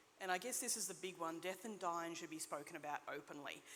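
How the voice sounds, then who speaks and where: A woman with an Australian accent speaks in a fairly low pitch with a bright, sharp tone. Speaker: nurse practitioner. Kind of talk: conference talk. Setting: stage with audience. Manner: fast.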